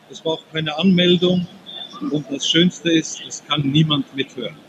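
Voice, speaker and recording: A man speaks at a fairly slow pace and a fairly high pitch, with noticeable background noise behind him. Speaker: software demonstrator. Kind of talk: product demo. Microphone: poor connection, not fully intelligible.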